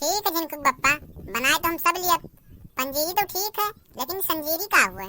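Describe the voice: This squeaky, cartoonish character voice moves with lively intonation. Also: woman, extremely high pitch for a woman, moderate pace.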